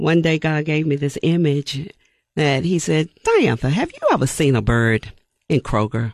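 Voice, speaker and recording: A woman's very deep, low voice in a Tennessee accent, with ordinary pitch variation, very even loudness and a fairly slow pace, over a quiet background. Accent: Southern US (Tennessee). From US South, Nashville, Tennessee. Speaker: pastor. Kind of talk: interview.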